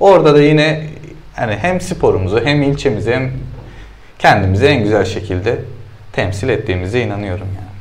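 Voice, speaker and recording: A man at a fairly quick pace with lively intonation, broken by long, frequent pauses. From Turkey, Sakarya (Hendek); Turkey. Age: 30s. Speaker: CrossFit athlete; guest. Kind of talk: interview. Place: studio.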